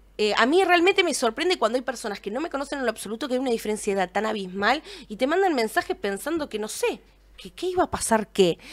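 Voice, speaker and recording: In a Rioplatense accent, a woman talks at a very fast pace with a high pitch and very wide pitch swings. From Argentina, Buenos Aires area; Argentina. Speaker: streaming show host. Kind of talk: casual chat. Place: studio. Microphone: studio mic.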